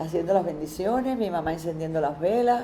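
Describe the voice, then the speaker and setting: Against noticeable background noise, a woman speaks fairly quickly with ordinary pitch variation. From Cuba, Havana. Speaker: interviewee. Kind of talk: testimony. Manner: halting.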